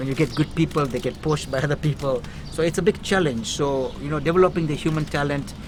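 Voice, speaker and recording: Over noticeable background noise, a man talks at a very fast pace in a fairly high pitch with fairly even intonation. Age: 60s. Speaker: inspirational speaker. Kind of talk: interview.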